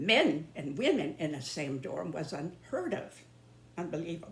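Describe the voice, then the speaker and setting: In an American accent, a woman speaks at a fairly slow pace. Her voice is somewhat breathy. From northern US. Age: 90s. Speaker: YouTuber. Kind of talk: monologue. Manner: halting.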